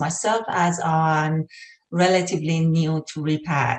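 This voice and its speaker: A woman with an Iranian accent. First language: Persian. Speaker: health researcher. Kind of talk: lecture.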